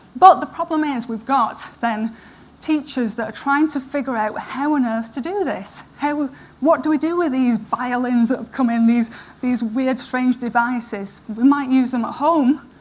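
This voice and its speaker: Over noticeable background noise, a woman with an American accent speaks at a moderate pace in a high pitch with ordinary pitch variation. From northern England, Manchester area. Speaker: professor. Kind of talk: conference talk. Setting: stage with audience.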